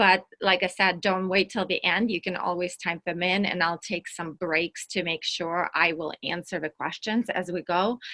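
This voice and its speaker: Speaking with hardly any pauses, a woman with a Russian accent has a bright, sharp tone, fairly low pitch and fairly even intonation. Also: moderate pace, dry, close sound with no echo. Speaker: entrepreneur and workshop speaker. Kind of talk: online workshop presentation.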